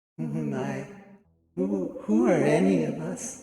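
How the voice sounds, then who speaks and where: In a put-on character voice, very deep and low in pitch, the speaker sounds raspy and moves at a fairly slow pace, with a clear echo around the words. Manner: eerie, taunting.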